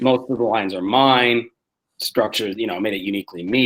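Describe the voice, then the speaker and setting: A man's medium-pitched voice with a Canadian accent. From Canada. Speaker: comedian. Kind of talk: casual chat. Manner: fast; animated.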